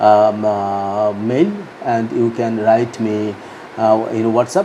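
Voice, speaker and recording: Amid noticeable background noise, a man with a Bengali accent speaks very slowly in a monotone, flat intonation. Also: medium pitch for a man. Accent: Indian English, Bengali. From India, West Bengal. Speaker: author. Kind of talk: book promotion talk. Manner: halting, many fillers.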